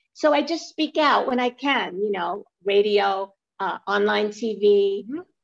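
With a New York accent, a woman speaks using lively intonation. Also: medium pitch for a woman, fairly slow pace. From Brooklyn, New York. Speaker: weight-loss coach and author. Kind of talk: interview.

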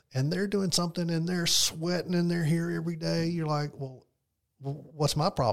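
A man talks in an unremarkable speaking voice, fairly high in pitch, with ordinary pitch variation. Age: 60s. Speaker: financial advisor. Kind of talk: casual chat.

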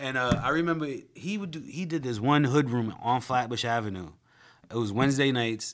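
A man's unremarkable speaking voice at medium pitch with lively intonation and a fairly quick pace. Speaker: comedian and podcast host. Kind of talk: casual interview with comedic riffing.

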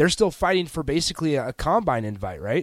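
A man speaks at a fairly quick pace in a normal speaking voice. The recording is very clean, with a silent background. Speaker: radio co-host and producer. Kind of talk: casual chat. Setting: studio.

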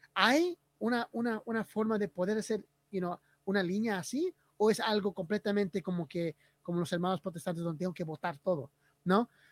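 Here a man speaks at a high pitch. His pace is fairly quick. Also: ordinary pitch variation. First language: English (speaking Spanish). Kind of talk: casual livestream conversation. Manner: halting, repeats words.

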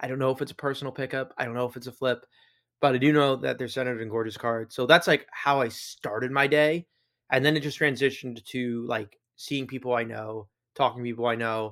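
A man with an unremarkable speaking voice talks at a fairly quick pace, his medium pitch held to fairly even intonation, on a very clean recording with a silent background. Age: 20s. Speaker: sports card podcast co-host. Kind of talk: casual chat.

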